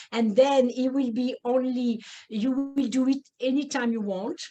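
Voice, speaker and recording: A woman with a French accent, at a moderate pace. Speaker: neurofeedback practitioner. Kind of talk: webinar presentation. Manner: halting, many fillers.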